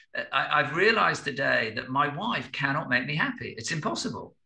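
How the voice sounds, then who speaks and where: A man's fairly high-pitched voice with lively intonation, a moderate pace and audible room echo. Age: 60s. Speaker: business consultant and spiritual teacher. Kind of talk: podcast interview. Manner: halting, with repeated words; reflective.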